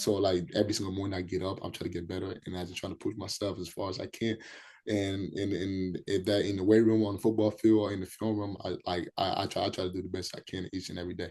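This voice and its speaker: Very fast and monotone with flat intonation, a man speaks with a fairly low pitch. His tone is dark and mellow against a quiet background. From Liberia, raised in Minnesota. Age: 20s. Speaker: college football player. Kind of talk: podcast interview. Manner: repetitive, halting starts; casual.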